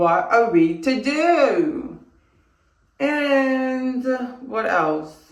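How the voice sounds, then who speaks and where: Amid audible room echo, a woman with a high pitch speaks at a very slow pace, her pitch swinging very widely, with long, frequent pauses. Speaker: vlogger. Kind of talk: casual vlog chat. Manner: rambling, talkative.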